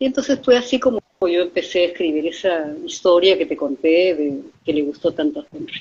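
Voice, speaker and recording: A woman's fairly low voice with very wide pitch swings, at a fairly quick pace. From Peru. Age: 70s. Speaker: author. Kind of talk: interview.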